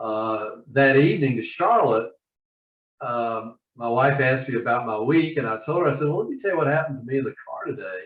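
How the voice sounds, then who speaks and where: The speaker has a Southern US accent and talks at a fairly quick pace. The pitch varies in an ordinary way. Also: man, fairly high pitch for a man. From US South (Georgia). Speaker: novelist and attorney. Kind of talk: interview.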